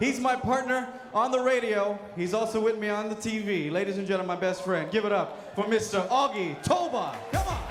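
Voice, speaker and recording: Audible room echo and noticeable background noise surround a man. He talks at a fairly quick pace. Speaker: comedian and show host. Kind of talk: stand-up. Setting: stage with audience.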